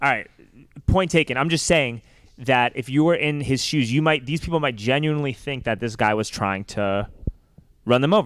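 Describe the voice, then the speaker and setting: Lively intonation and a fairly quick pace mark an unremarkable speaking voice with an American accent. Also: man. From New York. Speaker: podcast host, pedicab driver. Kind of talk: casual interview.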